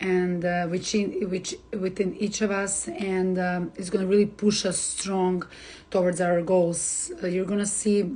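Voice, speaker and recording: At a fairly slow pace, a woman with a Serbian accent speaks at a medium pitch in a monotone, flat intonation. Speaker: astrologer. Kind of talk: live stream forecast. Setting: Instagram live stream. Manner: hesitant, many fillers.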